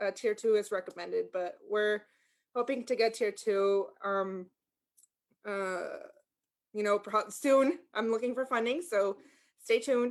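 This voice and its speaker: Pausing long and often, a woman speaks at a fairly slow pace with a fairly high pitch and ordinary pitch variation. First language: Spanish. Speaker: sheriff's office language access liaison. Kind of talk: community meeting presentation. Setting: video call. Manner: halting, many fillers.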